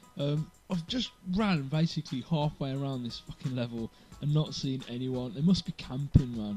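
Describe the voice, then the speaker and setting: A man speaks with ordinary pitch variation, keeping a moderate pace as music plays in the background. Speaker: gamer. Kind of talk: casual gameplay commentary. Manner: low energy, unenthusiastic.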